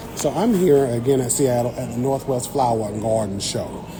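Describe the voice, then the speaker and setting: With an American accent, a man speaks at a medium pitch in an animated tone, his pitch varying in an ordinary way. Noticeable background noise and audible room echo surround his voice. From Eastern North Carolina. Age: 30s. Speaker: botanist and science content creator. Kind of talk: casual livestream chat. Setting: livestream at a garden show.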